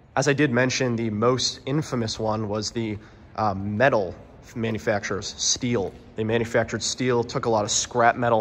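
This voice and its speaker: Fairly even intonation from a man, at a moderate pace. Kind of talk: casual vlog narration with history. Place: factory. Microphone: phone near.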